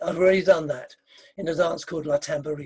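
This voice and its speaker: The man's voice has a dark, mellow tone. He talks fairly quickly. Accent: English. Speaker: dance caller and composer. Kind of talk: interview.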